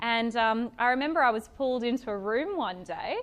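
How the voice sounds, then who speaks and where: In an Australian accent, a woman speaks at a fairly high pitch. Her intonation is lively. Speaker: event speaker, stockbroking employee. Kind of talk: talk to a live audience. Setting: evening networking event with audience. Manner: loud; casual, many fillers.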